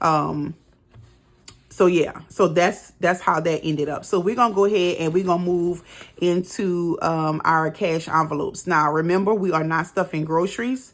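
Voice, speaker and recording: With an unremarkable speaking voice, a woman talks in a fairly low pitch and fairly even intonation. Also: moderate pace. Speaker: budgeting vlogger. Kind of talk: casual tutorial. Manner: casual, many fillers.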